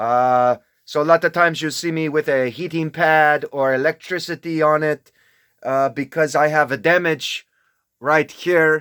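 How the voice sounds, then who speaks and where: A man with a fairly high pitch speaks at a fairly slow pace in a very clean recording with a silent background. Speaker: self-proclaimed religious figure. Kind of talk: casual monologue. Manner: animated; slow when speaking other languages.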